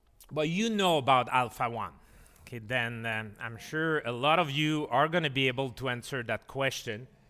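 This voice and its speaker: In a French Canadian accent, a bright, sharp voice moves at a fairly slow pace with lively intonation on a very clean recording with a silent background. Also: man. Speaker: physician and professor. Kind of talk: lecture. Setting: conference hall with audience and translation. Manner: halting, many fillers.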